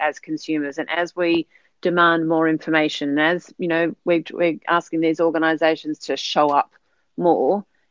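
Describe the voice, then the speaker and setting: This woman has an Australian accent and a fairly low pitch. She talks at a moderate pace in a flat, monotone way. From Sydney, Australia. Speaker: podcast guest. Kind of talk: casual interview chat.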